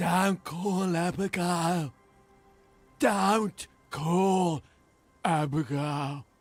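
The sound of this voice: A put-on character voice at a middle pitch, very slow, with long, frequent pauses and faint music in the background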